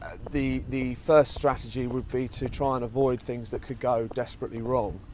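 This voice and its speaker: Noticeable background noise sits behind a man with a southeast English accent. His medium-pitched voice has monotone, flat intonation. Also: moderate pace. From Kent, southeast England. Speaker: fund research head and podcast host. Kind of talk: casual interview on a walk. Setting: outdoors in a park. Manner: hesitant, many fillers.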